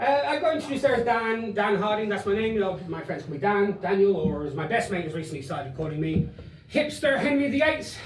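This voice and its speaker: A man speaks very fast in an animated tone, with a high pitch and very wide pitch swings. Music plays in the background, and room echo is audible. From Ireland, raised in Spain from age eleven. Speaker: stand-up comedian. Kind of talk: stand-up. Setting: stage with audience.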